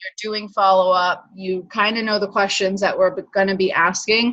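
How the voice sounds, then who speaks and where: At a moderate pace, a woman speaks in a plain, everyday voice at medium pitch. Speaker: wellness coach team leader. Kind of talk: team training call.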